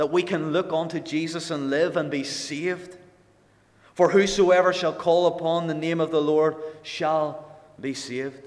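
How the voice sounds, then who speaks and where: A man with a Northern Irish accent speaks at a moderate pace in a fairly high, flat monotone, with audible room echo. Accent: Northern Irish (Ulster). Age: 20s. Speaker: lay preacher. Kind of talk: sermon. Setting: gospel hall with congregation.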